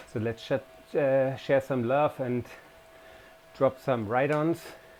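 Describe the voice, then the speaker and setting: Noticeable background noise sits behind a man with a non-native accent and a medium pitch. He talks at a fairly slow pace with fairly even intonation. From Germany. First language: German. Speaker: cycling vlogger. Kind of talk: casual vlog commentary while riding. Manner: hesitant, many fillers.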